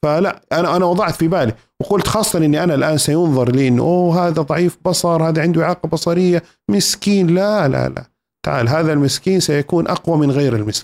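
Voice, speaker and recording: A man talks at a fairly quick pace in an unremarkable speaking voice, fairly high in pitch, with ordinary pitch variation. His loudness stays very even, and the recording is very clean with a silent background. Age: 40s. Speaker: university professor. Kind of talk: interview, storytelling. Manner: formal, fluent.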